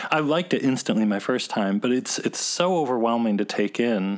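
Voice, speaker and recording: Someone with an American accent talks at a moderate pace in an ordinary speaking voice. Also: man. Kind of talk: casual interview chat. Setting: remote call interview.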